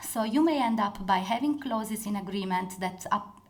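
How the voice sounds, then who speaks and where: The speech moves at a moderate pace. There is audible room echo. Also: woman. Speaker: corporate lawyer. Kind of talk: conference talk.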